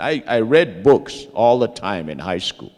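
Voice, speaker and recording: The speaker is a man with a medium pitch. Vocal fry runs through his voice. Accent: Lakota. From Lakota community, US Great Plains. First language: Lakota. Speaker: Lakota language teacher. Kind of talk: panel talk.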